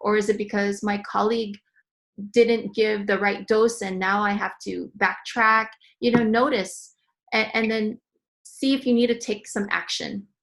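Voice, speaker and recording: A woman's fairly high voice at a fairly slow pace, fairly even in intonation, against a quiet background. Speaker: wellness presenter on a health panel. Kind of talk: presentation with slides. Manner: hesitant, many fillers.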